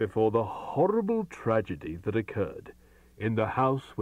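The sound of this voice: An unforced reading voice carries the text.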